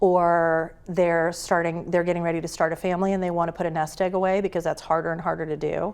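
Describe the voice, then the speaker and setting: A woman with a fairly low voice speaks very fast in a flat monotone, with hardly any pauses. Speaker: guest commentator. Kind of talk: interview.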